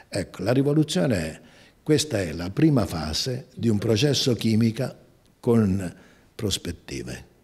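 In a fairly low, somewhat breathy voice, a man talks at a fairly slow pace with very wide pitch swings and long, frequent pauses. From southern Italy, Amalfi coast; southern Italy. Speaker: company president, engineer. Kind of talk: interview; interview answer. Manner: halting, many hesitations. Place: office. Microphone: handheld.

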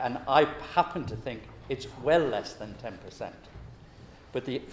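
A man speaks at a moderate pace with ordinary pitch variation. There is audible room echo and light background noise. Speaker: public speaker. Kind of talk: talk to an audience. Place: meeting room.

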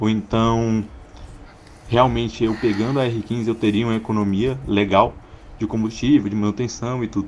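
Light background noise sits behind a man speaking at a moderate pace. His intonation is monotone and flat, with long, frequent pauses. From Goiás, Brazil. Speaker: caller, motorcycle owner; motorcycle youtuber. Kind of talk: recorded question to a host. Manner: halting. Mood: playful, joking. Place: home room. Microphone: studio mic.

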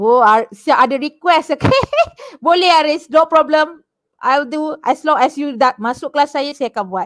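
A woman's high voice, lively in intonation and fairly slow, over a quiet background. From Malaysia. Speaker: secondary school teacher. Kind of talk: online class lesson. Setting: online video class. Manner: code-switching Malay and English. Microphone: headset.

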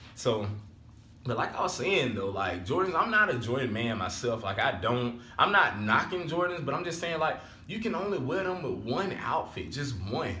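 Amid light background noise and audible room echo, a man talks at a fairly quick pace in an animated tone with very wide pitch swings. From Alabama. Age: 20s. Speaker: vlogger. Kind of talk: casual vlog talk to camera. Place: home room. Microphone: phone near.

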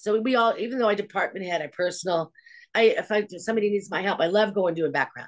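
Against a quiet background, a woman with a Californian accent talks at a very fast pace with ordinary pitch variation. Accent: General American (Californian). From Los Angeles. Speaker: hair department head; guest. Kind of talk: casual interview. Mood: warm, chatty. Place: home room. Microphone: video call.

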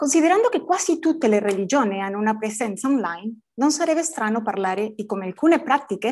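A woman's fairly high voice with a non-native accent, lively intonation and a fairly quick pace. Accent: non-native Italian. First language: Spanish (speaking Italian). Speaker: academic conference speaker; conference speaker. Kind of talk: conference talk. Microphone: webcam.

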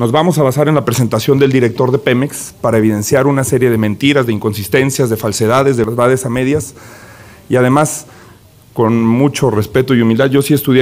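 A man at a fairly quick pace, his intonation fairly even. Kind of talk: parliamentary speech. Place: hall. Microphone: podium.

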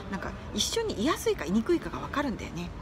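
Over noticeable background noise, a woman speaks at a very fast pace with very wide pitch swings. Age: 40s. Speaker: livestreamer and course instructor; live streamer giving life advice. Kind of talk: casual livestream chat. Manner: animated, frequent laughter. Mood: friendly, cheerful. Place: home room. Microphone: phone near.

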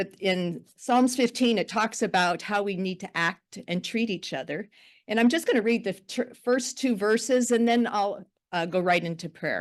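Against a quiet background, a woman talks at a moderate pace in a medium pitch with ordinary pitch variation. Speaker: pastor. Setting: county board meeting room. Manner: loud.

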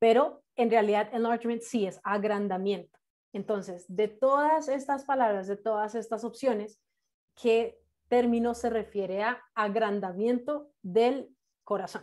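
The pace of this woman's speech is fairly slow. Her pitch varies in an ordinary way against a quiet background. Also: fairly high pitch for a woman. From Colombia, Bogotá. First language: English (speaking Spanish). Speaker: nurse and English terminology instructor; instructor teaching medical English to nurses. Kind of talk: online class lecture. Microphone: video call.

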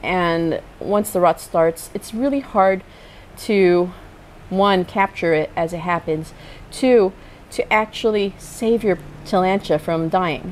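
Very slow speech from a woman, ordinary pitch variation, light background noise. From Philippines. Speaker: plant vlogger and lawyer; plant collector vlogger. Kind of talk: vlog tutorial. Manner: casual with fillers. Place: garden.

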